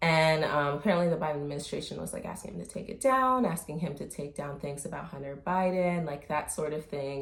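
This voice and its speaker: Audible room echo hangs around this woman's voice. Her pitch sits very deep and low. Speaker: commentary vlogger. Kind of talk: casual commentary vlog. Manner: hesitant, many fillers.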